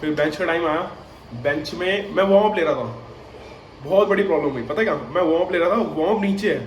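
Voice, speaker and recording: Noticeable background noise and audible room echo surround the speaker. He is a man with a high pitch and ordinary pitch variation. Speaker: powerlifter vlogger. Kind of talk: vlog monologue. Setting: at home. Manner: casual, filler-heavy.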